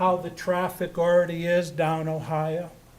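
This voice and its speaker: Audible room echo surrounds a man with an American accent and a high pitch as he speaks at a fairly slow pace. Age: 70s. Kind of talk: public comment at council meeting. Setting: city council meeting.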